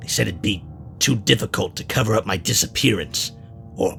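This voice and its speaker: Over clear background noise, a man uses a put-on character voice with a fairly low pitch. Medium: audio drama. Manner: blunt, profane.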